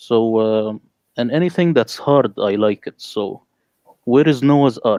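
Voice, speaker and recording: A man with an Arabic accent talks at a moderate pace in a medium pitch. His pitch varies in an ordinary way, and the sound is dry and close with no echo. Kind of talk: panel discussion.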